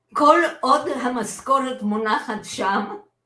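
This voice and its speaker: A woman's voice carries audible room echo. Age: 80s+. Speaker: retired journalist and lawyer. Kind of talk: interview, personal story. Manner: animated, laughs often.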